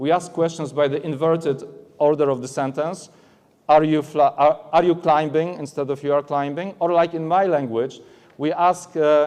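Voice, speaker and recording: Speaking with a Polish accent, the man has a fairly high pitch and fairly even intonation. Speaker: aviation English examiner. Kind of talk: conference presentation. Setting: stage at trade expo. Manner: halting, many fillers.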